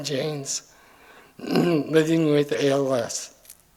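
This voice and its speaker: Over noticeable background noise, the speaker delivers flat, monotone lines in an American accent. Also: man. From US Midwest, Kansas City area. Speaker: hall of fame inductee. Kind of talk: acceptance speech. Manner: halting.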